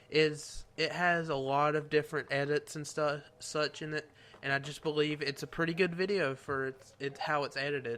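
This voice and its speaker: A man speaks at a moderate pace with a fairly high pitch. His tone is bright and sharp, and his intonation stays fairly even. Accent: Southern US. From US South. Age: 18. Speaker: YouTuber. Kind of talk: Q&A video. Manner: soft-spoken.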